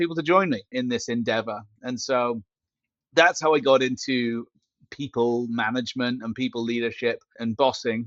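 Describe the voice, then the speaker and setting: A man with a British accent, medium pitch and ordinary pitch variation, at a moderate pace. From Britain. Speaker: company founder and CEO. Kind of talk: podcast interview.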